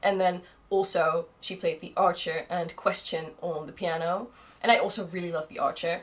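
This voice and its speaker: In a Dutch accent, a woman speaks at a fairly low pitch with big swings in loudness. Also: moderate pace. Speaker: vlogger. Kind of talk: vlog monologue. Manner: animated.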